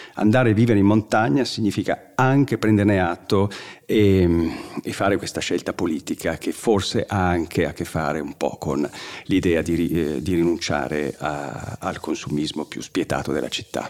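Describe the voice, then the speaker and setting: A man with a very deep, low voice talks at a moderate pace with lively intonation. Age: 50s. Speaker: writer and journalist on mountains. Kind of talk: interview.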